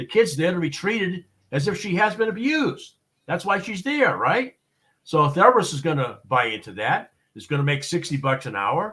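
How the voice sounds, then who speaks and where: A man with a high pitch and an American accent speaks at a moderate pace in a bright, sharp tone. His pitch swings very widely and his loudness rises and falls in big swings. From Boston, US. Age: 60s. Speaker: expert witness and consultant. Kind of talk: interview on live show. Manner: hesitant, many fillers and repeats.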